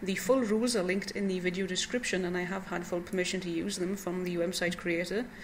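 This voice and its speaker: A woman with a Welsh accent talks at a very fast pace over noticeable background noise. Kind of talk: casual introduction to a reading.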